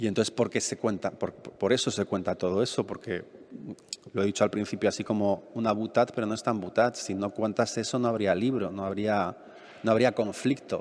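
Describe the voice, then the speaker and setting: A man with a plain, everyday voice, fairly low in pitch, at a fairly quick pace with fairly even intonation. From Madrid, Spain. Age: 50s. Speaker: novelist. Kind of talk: public talk Q&A. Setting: library event with audience.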